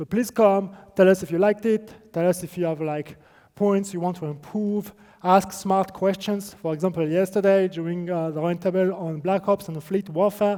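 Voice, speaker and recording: With a strong non-native accent, a man speaks at a moderate pace in a high pitch for a man. His intonation is fairly even and his tone dark and mellow. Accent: strong non-native accent, self-described. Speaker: game developer presenter. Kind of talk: conference presentation. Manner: hesitant, many fillers.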